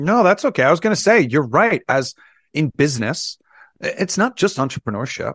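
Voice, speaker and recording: Over a silent background in a very clean recording, a man speaks at a fairly quick pace in a high voice with very wide pitch swings. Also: dry, close sound with no echo. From US, Las Vegas. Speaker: sound therapy entrepreneur. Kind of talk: interview.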